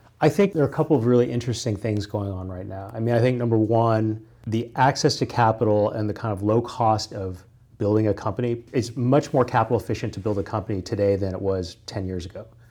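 A man with a Midwestern American accent talks at a very fast pace, his medium pitch carrying a dark, mellow tone and ordinary pitch variation. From US Midwest, Kansas. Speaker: corporate lawyer. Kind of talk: interview conversation.

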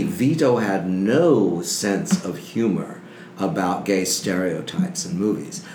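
Amid noticeable background noise, a man with an American accent talks at a fairly slow pace with very wide pitch swings. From Texas and Sacramento, California. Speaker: film historian and archivist. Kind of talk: casual interview chat. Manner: animated.

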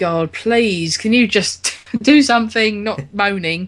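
A woman with a London accent against a quiet background. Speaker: podcast host. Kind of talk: casual chat.

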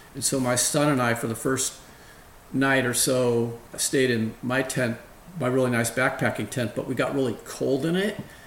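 Someone with an ordinary speaking voice talks in an American accent at a moderate pace with fairly even intonation. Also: man, medium pitch for a man. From San Francisco Bay Area, California. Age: 50s. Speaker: financial advisor. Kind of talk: interview.

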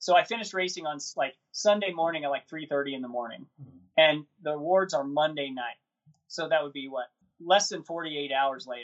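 A man's plain, everyday voice, fairly high in pitch, with ordinary pitch variation, big swings in loudness, and a moderate pace. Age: 50s. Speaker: ultrarunner and running coach. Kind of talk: interview.

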